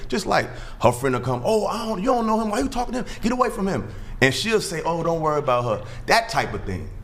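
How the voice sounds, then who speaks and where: A man speaks at a very fast pace with very wide pitch swings. The recording has audible room echo and noticeable background noise. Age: 30s. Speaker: podcast guest. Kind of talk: panel discussion. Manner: halting.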